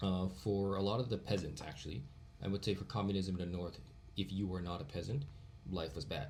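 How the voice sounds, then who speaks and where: This man's voice is very deep and low, somewhat breathy, with ordinary pitch variation. He moves along at a fairly quick pace. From Vietnam (Hanoi), partly raised in Virginia, US. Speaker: podcast guest, international student. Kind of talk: casual chat.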